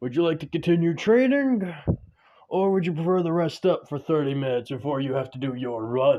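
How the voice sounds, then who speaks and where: Using a put-on character voice, a man speaks at a fairly quick pace with a fairly high pitch, a warm tone and lively intonation. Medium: read story. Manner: warm, jovial.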